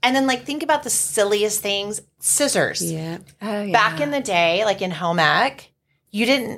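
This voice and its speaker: This is an unremarkable speaking voice. The intonation is lively. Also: woman, medium pitch for a woman, fairly slow pace. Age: 30s. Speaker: podcast co-host. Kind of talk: casual chat.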